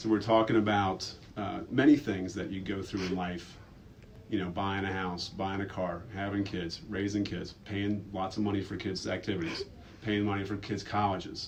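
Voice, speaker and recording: In a room with audible echo, a man with a fairly low pitch speaks at a moderate pace, somewhat breathy, with fairly even intonation. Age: 30s. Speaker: school staff member. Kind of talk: personal reflection in a school video.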